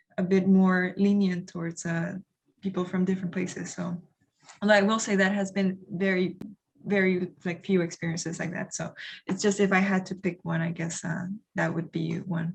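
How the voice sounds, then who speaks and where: With a Spanish accent, a woman speaks at a medium pitch in a somewhat breathy, monotone, flat voice. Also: moderate pace. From Honduras. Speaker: international development professional. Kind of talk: panel discussion. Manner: halting.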